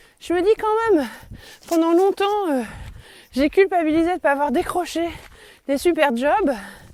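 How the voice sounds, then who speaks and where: Amid noticeable background noise, a woman with an extremely high pitch talks at a fairly slow pace, her intonation lively and broken by long, frequent pauses. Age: 40s. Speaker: podcaster and teacher. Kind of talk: personal reflective monologue. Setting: outdoors, walking in forest. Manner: halting, many hesitations.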